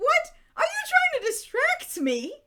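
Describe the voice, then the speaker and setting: A woman's put-on character voice, squeaky and extremely high in pitch. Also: fairly slow pace. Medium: actual play. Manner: curt, irritated.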